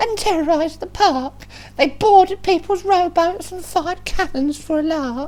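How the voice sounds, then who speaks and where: A woman uses a put-on character voice with an extremely high pitch. Her loudness swings widely, and her pace is moderate. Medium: read story. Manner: indignant.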